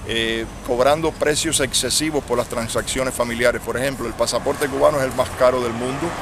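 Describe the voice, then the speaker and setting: A medium-pitched man talks at a fairly quick pace with hardly any pauses and fairly even intonation, over noticeable background noise. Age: 60s. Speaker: exile activist leader. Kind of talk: street interview.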